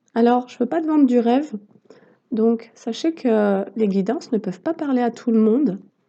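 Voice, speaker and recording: A woman speaks quietly at a fairly slow pace, in a dark, mellow tone. Her pitch is high, with ordinary variation. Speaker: tarot reader and therapist. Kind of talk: tarot card reading. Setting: on a deck, outdoors in the sun. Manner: hesitant.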